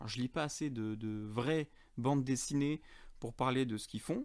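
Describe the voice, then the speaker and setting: A man's fairly high voice at a moderate pace, in a very clean recording with a silent background. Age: 30s. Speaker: podcast host. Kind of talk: casual podcast monologue. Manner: casual, many hesitations.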